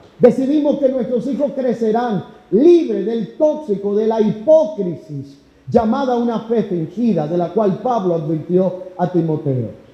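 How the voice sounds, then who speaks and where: Amid audible room echo, a man with a high pitch and a dark, mellow tone talks at a fairly slow pace with very wide pitch swings. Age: 30s. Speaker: pastor. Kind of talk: sermon.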